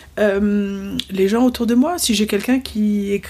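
A woman's somewhat breathy voice, dark and mellow in tone, with ordinary pitch variation and a very slow pace. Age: 40s. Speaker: entrepreneurship trainer and teacher, former lawyer. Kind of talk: casual interview. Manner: halting.

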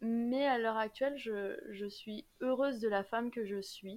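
Her pitch fairly high and her intonation fairly even, a woman talks in an unremarkable speaking voice. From Normandy, France, then Saint-Martin (Caribbean). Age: 20s. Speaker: law student and YouTuber. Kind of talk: casual interview.

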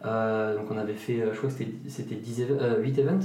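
There is audible room echo and noticeable background noise. A man speaks through it at medium pitch. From France, Ardennes. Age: 30s. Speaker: physiotherapist. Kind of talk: interview. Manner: halting.

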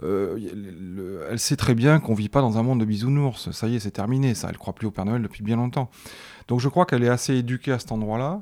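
On a very clean recording with a silent background, a man of medium pitch speaks at a fairly quick pace with ordinary pitch variation. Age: 40s. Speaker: father of a teenager. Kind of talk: casual chat. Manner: halting.

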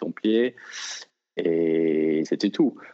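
Very deep and low, a man's voice comes with an English accent and fairly even intonation. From Britain. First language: English (speaking French). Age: 30s. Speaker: elite trail runner. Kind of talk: interview.

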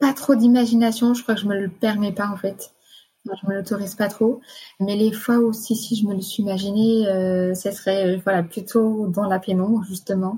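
A dark, mellow, somewhat breathy tone at a moderate pace, with fairly even intonation. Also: woman, medium pitch for a woman. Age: 20s. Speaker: nurse. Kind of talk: personal testimony. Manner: halting.

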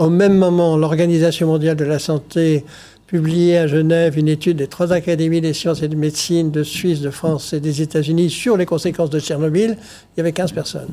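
A man's fairly high voice with a dark, mellow tone and monotone, flat intonation. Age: 70s. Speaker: scientist. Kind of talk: TV debate interview.

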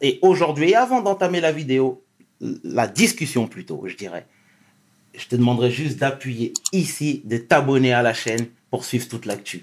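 Using a normal speaking voice, a man with a fairly high pitch talks at a fairly slow pace with lively intonation and big swings in loudness. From Senegal. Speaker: YouTube interview show host. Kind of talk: interview.

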